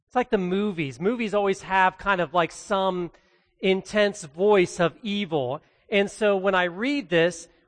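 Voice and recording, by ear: Intonation holds fairly even throughout. The clip is someone reading aloud in a natural voice.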